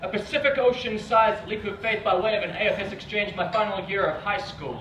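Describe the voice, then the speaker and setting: A man with a high pitch and a New Zealand accent uses a raised, projected voice at a moderate pace with fairly even intonation. Audible room echo and noticeable background noise come through. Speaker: spoken word poet. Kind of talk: performance poetry. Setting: stage with audience.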